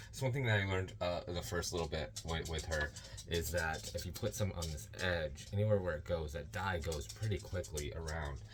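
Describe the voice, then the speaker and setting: Amid music in the background and audible room echo, a man with a very deep, low pitch talks at a fairly quick pace. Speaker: yarn dyer. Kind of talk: tutorial. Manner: loud; raises volume when teaching.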